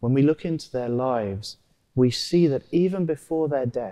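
A man speaks with a dark, mellow tone against a quiet background. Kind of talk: homily at Mass. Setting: church. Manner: earnest, measured, teacherly; repetitive, reverent, rhetorical. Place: church. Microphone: lapel.

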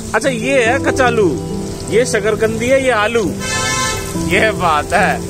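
A man speaks at a very slow pace with long, frequent pauses over clear background music, the sound dry with no echo. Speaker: street food vlogger. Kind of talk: casual street food vlog narration. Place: market. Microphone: phone near.

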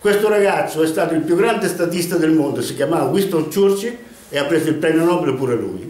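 At a fairly quick pace, a man speaks at a high pitch with ordinary pitch variation, and room echo is audible. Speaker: storyteller. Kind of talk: casual monologue storytelling. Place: home room. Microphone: camera far.

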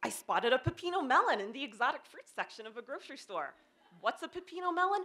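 A woman talks at a fairly quick pace. She speaks with an American accent. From Pennsylvania. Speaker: development editor telling a personal story; presenter. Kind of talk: short presentation talk. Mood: humorous, lively. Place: stage. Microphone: handheld.

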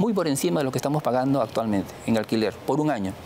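Over light background noise, a man speaks in a fairly high pitch with lively intonation. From Peru. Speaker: public official, engineer; interviewee. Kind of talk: TV interview. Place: studio.

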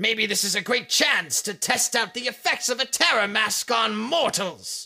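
With a raised, projected voice, a man speaks at a moderate pace. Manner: charismatic, sneering.

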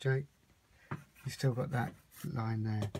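A man at a moderate pace, fairly even in intonation, over noticeable background noise. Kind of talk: tutorial. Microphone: phone near.

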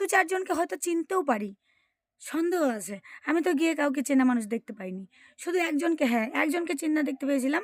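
Her high voice swings very widely in pitch, and the woman is recorded with a dry, close sound and no echo. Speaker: family vlogger. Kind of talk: vlog voiceover narration. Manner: halting, stumbling over words.

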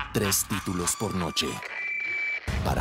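Loud music plays in the background. A man talks at a very slow pace. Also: dry sound with no echo. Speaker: voice actor. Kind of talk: TV channel promo announcer. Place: booth. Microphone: studio mic.

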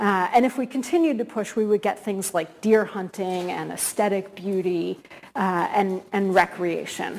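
There is light background noise. A woman talks at a moderate pace with ordinary pitch variation. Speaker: guest academic lecturer. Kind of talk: lecture. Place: hall.

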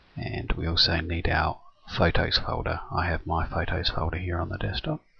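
Here a man speaks at a moderate pace. There is noticeable background noise. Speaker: software tutorial maker. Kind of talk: screen-recorded software tutorial. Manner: monotone.

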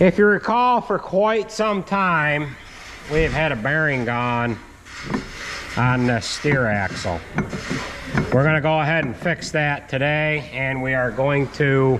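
A man at a fairly slow pace with long, frequent pauses and noticeable background noise. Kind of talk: casual repair vlog narration. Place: workshop. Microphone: phone near.

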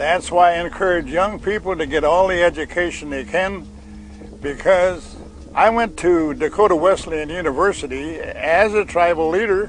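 Music plays behind a man with a high pitch and ordinary pitch variation. The sound is dry, with no echo. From South Dakota, Crow Creek Reservation. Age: 80s+. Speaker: cattle rancher. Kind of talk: oral history storytelling. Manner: slow, hesitant. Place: waterside.

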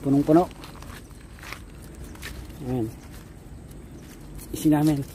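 A man speaks with a fairly high pitch. His tone is dark and mellow.

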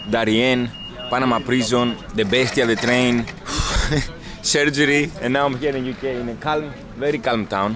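A man with a Greek accent talks over noticeable background noise, the sound dry with no echo. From Greece. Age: 20s. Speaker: travel vlogger. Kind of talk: casual vlog chat. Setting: outdoors. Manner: animated. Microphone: phone near.

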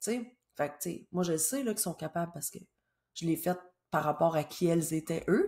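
Fairly low in pitch and somewhat breathy, a woman speaks with long, frequent pauses and ordinary pitch variation over a quiet background. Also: moderate pace, big swings in loudness. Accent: Quebec. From Quebec. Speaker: business coach. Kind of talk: solo educational video talk. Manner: casual. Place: home room. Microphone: webcam.

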